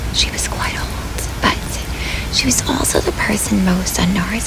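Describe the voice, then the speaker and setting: A woman whispers in a gentle tone at a fairly slow pace. Noticeable background noise runs behind her. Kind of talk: bedtime story reading. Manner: soft-spoken, gentle.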